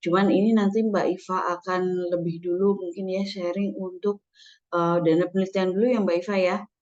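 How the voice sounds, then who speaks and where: A woman with a medium pitch talks at a fairly quick pace in a monotone, flat intonation. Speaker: scholarship administrator. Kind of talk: webinar presentation. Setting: video call. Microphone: using a different laptop.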